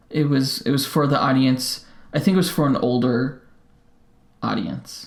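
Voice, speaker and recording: A man with an American accent mumbles at a fairly slow pace. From Colorado, US. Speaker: podcast co-host. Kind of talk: casual chat. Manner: mumbling; halting, many fillers.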